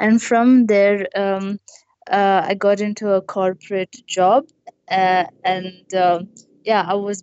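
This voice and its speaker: Her delivery very slow, a woman talks in a monotone, flat intonation. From South India (Hubli, Karnataka). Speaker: adventure motorcyclist. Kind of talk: interview. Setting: video call.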